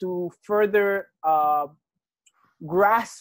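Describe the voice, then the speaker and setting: A man's high voice on a very clean recording with a silent background. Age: 60s. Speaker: astrology and card reading teacher. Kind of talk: casual educational chat. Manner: halting, many fillers.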